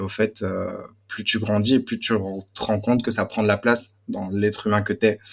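In a slight Belgian accent, a man talks with a fairly low pitch and monotone, flat intonation. The recording is very clean, with a silent background. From Belgium. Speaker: student and music industry worker. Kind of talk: casual chat.

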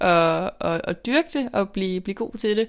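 On a very clean recording with a silent background, a woman speaks at a fairly slow pace. Her medium pitch shows ordinary variation. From northern Denmark. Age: 20s. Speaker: journalism student and author. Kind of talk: personal testimony interview. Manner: halting, many repetitions and fillers.

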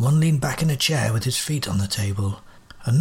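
The intonation is lively. It's an unforced reading voice.

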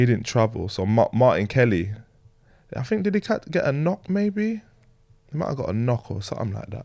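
This man speaks at a moderate pace and medium pitch, his tone dark and mellow. His pitch swings very widely, and he leaves long, frequent pauses. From northern England, Leeds. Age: 20s. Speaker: former professional footballer. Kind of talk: casual interview.

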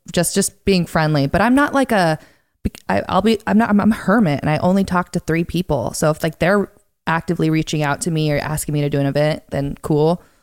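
With a plain, everyday voice and an American accent, a woman speaks at a fairly low pitch and a fairly quick pace, using lively intonation in a dry, close sound with no echo. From Montana. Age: young. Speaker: singer-songwriter and content creator. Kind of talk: casual interview chat.

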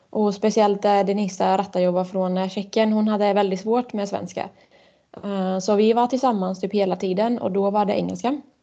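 In a quiet background, a woman speaks at a moderate pace and medium pitch, her dark, mellow tone carrying fairly even intonation. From Switzerland. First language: Swiss German (speaking Swedish). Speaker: floorball goalkeeper. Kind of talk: interview.

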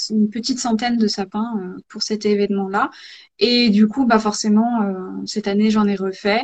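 This woman talks at a very slow pace in a fairly high, somewhat breathy voice with fairly even intonation. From rural France. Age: 30s. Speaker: ceramicist and pottery teacher. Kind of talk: live interview. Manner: hesitant.

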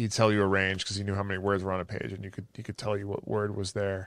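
A man speaks at a fairly low pitch in a very clean recording with a silent background. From England, moved to US as child. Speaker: memory champion. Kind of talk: casual chat.

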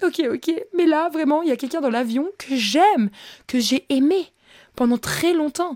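A woman speaks in a high pitch with an animated tone and ordinary pitch variation. Her pace is fairly slow with long, frequent pauses, and the sound is dry and close with no echo. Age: 20s. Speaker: podcast host. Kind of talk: casual storytelling monologue.

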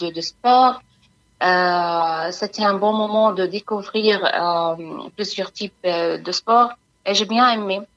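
Speaking at a very slow pace with an Arabic accent, the voice keeps a fairly even intonation. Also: woman. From Palestine. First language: Arabic (speaking French). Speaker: humanitarian worker. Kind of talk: interview. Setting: phone call. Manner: halting.

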